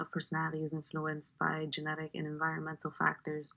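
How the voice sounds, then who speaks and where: A woman's very deep, low voice with a bright, sharp tone, an American accent and a fairly quick pace. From Bronx, New York. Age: 20s. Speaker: student. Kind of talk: class presentation. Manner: halting, many fillers.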